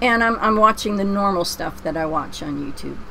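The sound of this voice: A woman speaks in a Pennsylvania accent with a fairly bright tone. Her voice has vocal fry and ordinary pitch variation. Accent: American, Pennsylvania.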